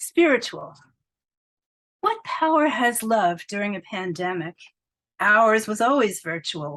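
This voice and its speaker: Fairly high in pitch, a woman speaks at a fairly slow pace with very wide pitch swings and long, frequent pauses. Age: 70s. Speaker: poet. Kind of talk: reading aloud; interview. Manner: animated.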